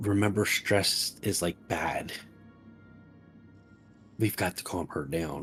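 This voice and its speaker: A man's raspy, whispered put-on character voice at a fairly slow pace, with long, frequent pauses and music in the background. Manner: whispering.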